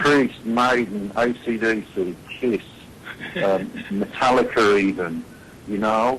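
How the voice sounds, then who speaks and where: The speech moves at a very slow pace with long, frequent pauses and ordinary pitch variation. Noticeable background noise is present. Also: man, medium pitch for a man. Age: 60s. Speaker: heavy metal singer. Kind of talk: interview answer.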